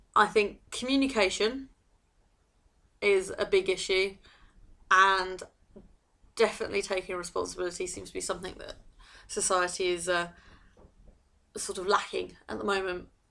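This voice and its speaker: A woman speaks at a moderate pace in a medium pitch, with big swings in loudness and long, frequent pauses. The recording is very clean, with a silent background. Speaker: marketing consultant. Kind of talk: vlog monologue. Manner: halting.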